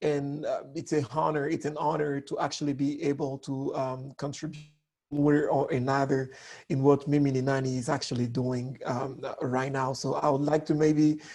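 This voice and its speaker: Fairly high in pitch for a man, this voice with a French accent has a dark, mellow tone, monotone, flat intonation and a moderate pace. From DR Congo. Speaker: communication coach. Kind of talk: online workshop talk.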